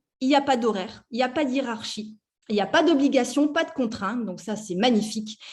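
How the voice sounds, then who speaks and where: Ordinary pitch variation at a fairly quick pace. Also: woman. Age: 40s. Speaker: network marketing distributor. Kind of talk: sales pitch.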